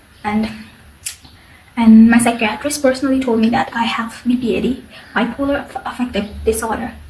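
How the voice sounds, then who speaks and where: Over noticeable background noise, a woman speaks at a fairly quick pace with a high pitch and fairly even intonation. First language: not English. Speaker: mental health vlogger. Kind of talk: personal testimony. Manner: halting.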